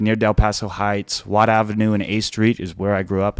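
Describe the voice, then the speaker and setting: A man with a Californian accent talks at a moderate pace in a fairly low voice. The recording is very clean and the background silent. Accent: Californian American. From northern California (Sacramento). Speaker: political candidate. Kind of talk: interview.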